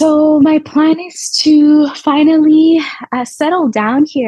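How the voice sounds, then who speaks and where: A woman speaks with a Spanish accent. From Montreal, Quebec. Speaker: yoga teacher. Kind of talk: podcast interview.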